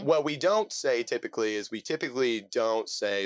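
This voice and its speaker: Heard with a dry, close sound with no echo and a quiet background, a man with a Midwestern American accent talks at a moderate pace. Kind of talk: casual, conversational.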